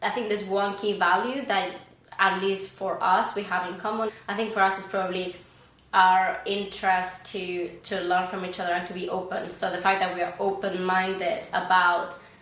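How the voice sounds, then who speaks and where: A woman speaks with a monotone, flat intonation amid noticeable background noise and audible room echo. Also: medium pitch for a woman, moderate pace. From Spain. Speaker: podcast guest. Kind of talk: casual chat.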